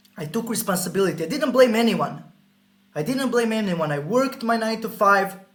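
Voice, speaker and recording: A man with a Croatian accent speaks high and in an animated tone. Room echo is audible, and background noise is noticeable. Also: lively intonation, fairly quick pace. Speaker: sales coach. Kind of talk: sales pitch.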